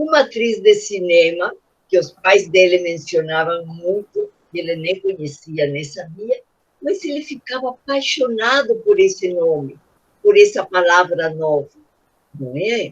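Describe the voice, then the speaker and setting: At a fairly slow pace, a woman speaks at a medium pitch with very wide pitch swings, big swings in loudness and a somewhat breathy quality. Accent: strong Spanish. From Peru. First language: Spanish (speaking Portuguese). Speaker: children's author. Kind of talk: panel discussion. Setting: video call. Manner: animated.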